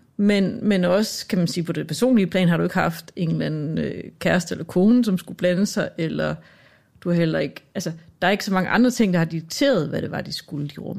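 A woman's fairly low voice with vocal fry, fairly quick, with ordinary pitch variation. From Denmark. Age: 40s. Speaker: radio producer. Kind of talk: casual chat. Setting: studio.

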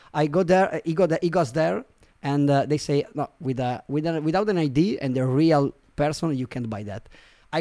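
In an Italian accent, a man talks at a moderate pace and a fairly high pitch, with a dark, mellow tone and ordinary pitch variation. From Italy, Milan. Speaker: marketing agency CEO. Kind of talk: interview. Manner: halting, many fillers.

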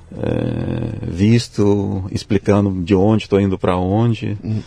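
Speaking very slowly, a man uses a fairly low pitch and has a Russian accent. There is noticeable background noise. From Russia, Siberia (Tomsk). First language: Russian (speaking Portuguese). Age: 50s. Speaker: physics professor. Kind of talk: interview. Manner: hesitant, with fillers.

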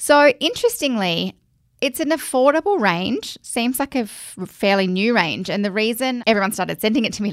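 Lively intonation and a fairly quick pace mark this voice with an Australian accent. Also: woman. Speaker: podcast host. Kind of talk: casual chat.

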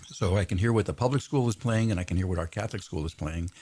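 A man with a fairly low pitch speaks with lively intonation and a somewhat breathy quality. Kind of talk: radio interview.

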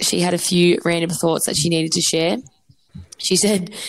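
Speaking with an Australian accent, a woman talks at a fairly quick pace. Her fairly low voice carries vocal fry. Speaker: podcast co-host. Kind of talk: casual chat. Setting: remote call.

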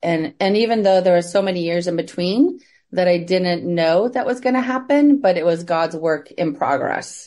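With an American accent, a woman speaks at a moderate pace with hardly any pauses, using a fairly low pitch, a dark, mellow tone, and lively intonation. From US Midwest. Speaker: trafficking survivor and nonprofit founder. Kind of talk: interview, personal testimony.

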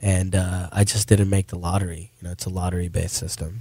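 In an American accent, a man speaks at a very deep, low pitch. His pace is fairly quick, and his voice is somewhat breathy. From India, raised internationally as a diplomat's child. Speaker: rapper. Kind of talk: interview.

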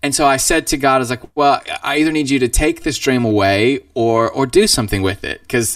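A man speaks with an American accent. He goes at a fairly quick pace with hardly any pauses. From Idaho, US (born Southern California). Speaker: worship band frontman. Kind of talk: casual interview.

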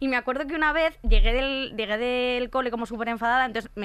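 A fairly high-pitched woman with a Spanish accent at a very fast pace, her tone bright and sharp, with ordinary pitch variation. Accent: Peninsular Spanish. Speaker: podcast host. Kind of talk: casual chat.

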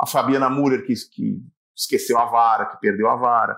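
A man with vocal fry at a fairly quick pace. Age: 40s. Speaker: sports commentator. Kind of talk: interview.

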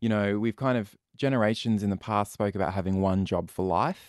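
A man with an Australian accent, fairly low in pitch, at a fairly quick pace with ordinary pitch variation, in a dry, close sound with no echo and a quiet background. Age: 30s. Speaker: youth mental health charity representative. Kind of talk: interview.

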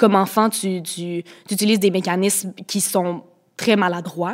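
A woman's voice, pitched in the middle range with fairly level intonation, comes through on a very clean recording against a silent background. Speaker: guest sharing eating disorder experience. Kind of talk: testimony.

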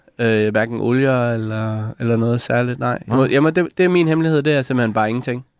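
In a normal speaking voice, a man talks at a fairly quick pace with hardly any pauses, at medium pitch with ordinary pitch variation. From Denmark, Lolland (Sakskøbing). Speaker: comedian. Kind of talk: casual chat. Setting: radio studio.

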